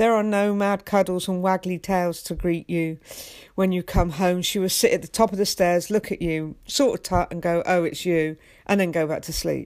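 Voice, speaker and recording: At a moderate pace, a woman with an English accent speaks at medium pitch with fairly even intonation, in a very clean recording with a silent background. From England. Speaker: podcast host and life coach. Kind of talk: solo podcast monologue.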